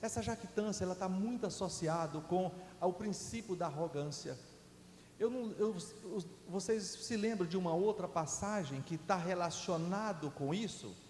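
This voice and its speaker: A man speaks slowly-ish, at a fairly slow pace, in a high pitch with ordinary pitch variation. Noticeable background noise and audible room echo fill the recording. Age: 60s. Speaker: guest preacher. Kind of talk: sermon. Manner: halting, with false starts.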